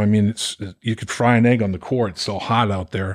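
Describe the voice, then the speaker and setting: With an American accent, a man of medium pitch has a plain, everyday voice, talking at a fairly quick pace in a dry, close sound with no echo. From Boston area, Massachusetts. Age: 60s. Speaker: former football player and radio color commentator. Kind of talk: casual interview.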